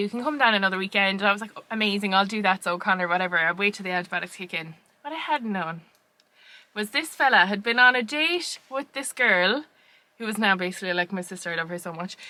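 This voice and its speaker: Very fast speech in an Irish accent, bright and sharp in tone, with ordinary pitch variation and big swings in loudness. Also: woman. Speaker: podcast co-host. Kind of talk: casual chat. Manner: animated.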